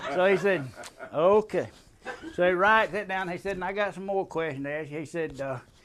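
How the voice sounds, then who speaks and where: High in pitch, a man speaks with ordinary pitch variation. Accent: Southern US. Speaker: military veteran. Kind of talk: storytelling, tall tale. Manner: casual, humorous.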